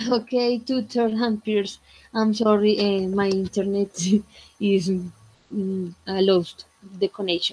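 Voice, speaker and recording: With a Spanish accent, a woman of medium pitch speaks with very even loudness and fairly even intonation, leaving long, frequent pauses. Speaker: English student. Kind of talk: class presentation. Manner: halting.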